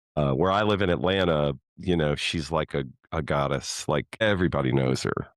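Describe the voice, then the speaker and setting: Lively in intonation, a man speaks with a very deep, low pitch and vocal fry in a dry, close sound with no echo. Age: 60s. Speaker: podcast guest sharing personal therapy journey. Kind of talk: casual interview conversation. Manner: hesitant, with repeated words and fillers.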